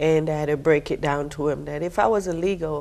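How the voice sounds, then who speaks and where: A woman with a Jamaican accent speaks very deep and low in a dark, mellow tone, her intonation fairly even against a quiet background. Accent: Jamaican accent, noticeable. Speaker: military veteran, financial aid staff. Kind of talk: TV interview.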